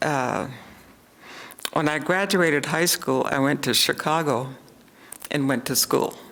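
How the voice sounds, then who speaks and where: With a Pacific Northwest accent, a woman talks at a very deep, low pitch and a fairly slow pace, with long, frequent pauses. Her loudness stays very even, and her pitch varies in an ordinary way. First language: Salish. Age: 70s. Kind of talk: storytelling talk with audience Q&A. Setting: seated at event with audience and microphone.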